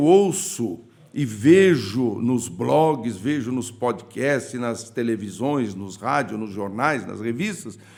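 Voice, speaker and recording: A man's very slow delivery with vocal fry. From Paraná, Brazil (Vale do Ivaí). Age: 60s. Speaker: politician, senate candidate. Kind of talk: interview.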